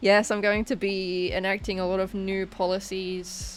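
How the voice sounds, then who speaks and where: Music plays in the background as a woman talks somewhat slowly. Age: 20s. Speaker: livestreamer. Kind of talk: casual chat. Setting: bedroom livestream.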